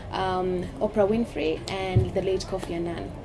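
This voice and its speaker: Speaking with a Kenyan coastal accent at a medium pitch, a woman is heard over noticeable background noise and audible room echo. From Kenya, Mombasa (coast). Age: 30s. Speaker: politician. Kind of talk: interview conversation.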